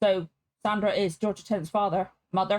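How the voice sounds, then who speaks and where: Recorded dry and close with no echo, a woman with a British accent speaks at a moderate pace. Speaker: reaction video creator. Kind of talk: reaction commentary.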